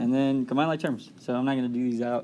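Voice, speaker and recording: A soft-spoken man with a dark, mellow tone talks at a medium pitch, his intonation fairly even. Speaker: math review presenter. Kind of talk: tutorial. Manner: casual.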